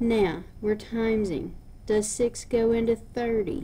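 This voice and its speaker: Somewhat breathy and at a very slow pace, a woman speaks with a fairly high pitch in a dark, mellow tone. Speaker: math teacher. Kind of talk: lecture.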